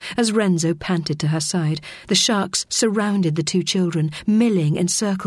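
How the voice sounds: Ordinary pitch variation shapes the delivery of a natural reading voice.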